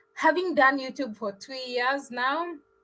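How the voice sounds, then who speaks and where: Very slow speech in an East African accent carries a bright, sharp tone. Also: woman. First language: Swahili. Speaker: travel vlogger. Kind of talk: live stream chat. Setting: live stream.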